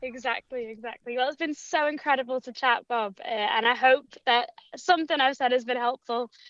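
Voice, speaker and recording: The speech runs at a fairly quick pace with ordinary pitch variation and a dry, close sound with no echo. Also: woman, high pitch for a woman. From Liverpool, England. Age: 20s. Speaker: creative marketer. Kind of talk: casual chat. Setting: outdoors at a festival campsite, on a call.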